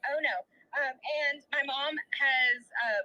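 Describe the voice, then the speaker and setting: A woman's high-pitched, raised and projected voice, with a dry, close sound and no echo. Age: 30s. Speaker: caller. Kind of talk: casual chat.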